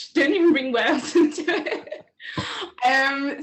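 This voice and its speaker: A woman with a Liverpool accent speaks at a moderate pace over noticeable background noise. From England, Liverpool. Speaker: researcher. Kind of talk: casual chat.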